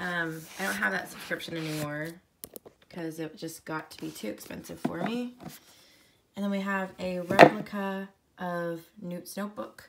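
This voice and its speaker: At a moderate pace, a woman talks in a fairly low pitch with ordinary pitch variation over noticeable background noise. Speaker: book vlogger. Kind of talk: casual show-and-tell tour.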